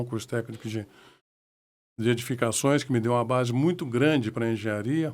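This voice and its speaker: His intonation fairly even, a man talks at a medium pitch. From southern Minas Gerais, Brazil. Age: 60s. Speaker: civil engineer and mayor. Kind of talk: podcast interview. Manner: halting, with repetitions.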